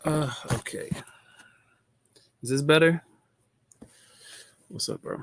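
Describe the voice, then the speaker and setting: With a dry, close sound and no echo, a man speaks fairly slowly in a fairly high voice, using fairly even intonation and long, frequent pauses. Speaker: trading educator. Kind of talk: live stream market analysis. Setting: live stream. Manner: loud. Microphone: audio setup issues, adjusted mid-stream.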